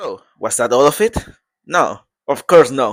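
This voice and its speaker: A man speaks with a non-native accent. The recording is very clean, the background silent. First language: Portuguese. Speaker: vlogger. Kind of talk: casual vlog narration. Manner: halting.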